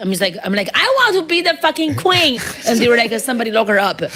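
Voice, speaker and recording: Over noticeable background noise, a woman with a strong Chinese accent and a fairly high pitch talks at a very fast pace with very wide pitch swings. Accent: heavy Chinese. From China. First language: Mandarin Chinese. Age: 30s. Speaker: stand-up comedian. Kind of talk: casual interview chat. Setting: studio.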